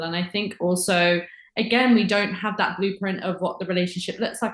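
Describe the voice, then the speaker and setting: A somewhat breathy voice at a fairly quick pace with fairly even intonation. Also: woman. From England, Windsor. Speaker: podcast guest. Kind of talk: casual chat.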